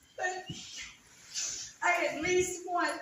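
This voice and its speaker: Audible room echo surrounds this recording. A woman speaks very slowly at an extremely high pitch. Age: 60s. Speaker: resident speaking at town hall. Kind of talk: testimony. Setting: town hall meeting. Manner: halting.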